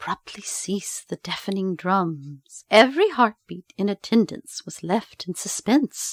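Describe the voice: Plain reading aloud with a quiet background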